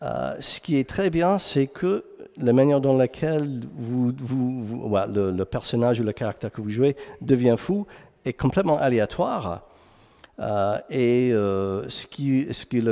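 Against a quiet background, a man with an English accent speaks at a medium pitch in a dark, mellow tone. His pace is fairly slow, and his pitch variation is ordinary. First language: English (speaking French). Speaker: game narrative director. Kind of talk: conference talk. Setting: stage with audience. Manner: halting, many fillers and repeats; energetic. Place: hall.

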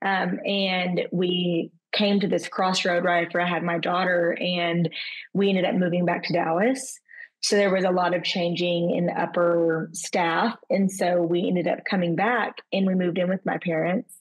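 A woman's fairly low voice in a Southern US accent, monotone and flat, with very even loudness over a quiet background. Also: moderate pace. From Arkansas. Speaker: event planner. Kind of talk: personal testimony. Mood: reflective, personal story. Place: home room. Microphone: video call.

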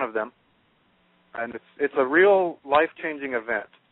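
A man talks in a normal speaking voice at a moderate pace, his pitch fairly high with ordinary pitch variation. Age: young. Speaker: spiritual channel creator. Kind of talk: radio interview. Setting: phone call.

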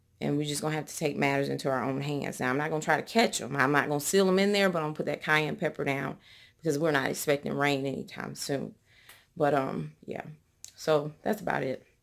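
The speech comes very fast and carries vocal fry, recorded very cleanly over a silent background. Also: woman, very deep, low pitch for a woman, ordinary pitch variation. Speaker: home stager and lifestyle vlogger. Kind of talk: casual vlog talk.

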